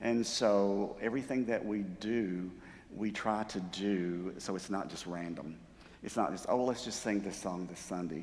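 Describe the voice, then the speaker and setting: In a room with audible echo, a man with a fairly low pitch talks at a fairly slow pace and ordinary pitch variation. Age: 60s. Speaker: church music director. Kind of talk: talk to a church group. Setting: church sanctuary. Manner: conversational, with many fillers.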